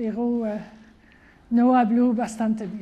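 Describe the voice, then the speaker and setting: A woman with a French accent speaks in a high pitch. Her intonation is monotone and flat, with audible room echo. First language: French (speaking Spanish). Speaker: mathematician, professor. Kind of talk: public lecture. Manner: halting, with hesitations.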